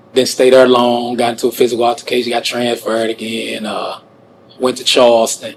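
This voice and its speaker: A man with an American accent at a medium pitch, monotone and flat in intonation, over noticeable background noise. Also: fairly quick pace. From St. Louis, Missouri, US. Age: 40s. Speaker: wrongfully convicted prisoner. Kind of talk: interview testimony. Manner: conversational, frequent fillers.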